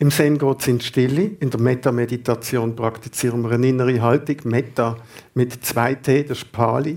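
Here is a man with a plain, everyday voice at a medium pitch. He talks at a moderate pace with fairly even intonation. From Basel, Switzerland. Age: 50s. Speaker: Zen meditation teacher. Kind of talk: radio interview. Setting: radio studio.

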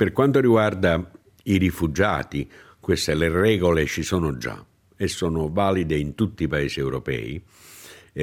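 With ordinary pitch variation and a very deep, low voice, a man talks at a moderate pace on a very clean recording where the background is silent. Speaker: former government migration official. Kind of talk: interview.

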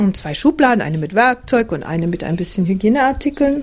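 A woman speaks with a plain, everyday voice. Her pitch sits fairly high, and her intonation is lively. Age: 50s. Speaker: interviewee living a simple life, former teacher. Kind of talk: interview.

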